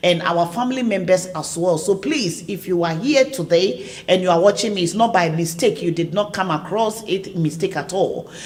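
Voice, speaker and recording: Speaking at a moderate pace with hardly any pauses, a woman sounds animated. Her medium pitch varies in an ordinary way over noticeable background noise. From Ghana. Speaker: online talk show host. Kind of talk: live stream promotional chat.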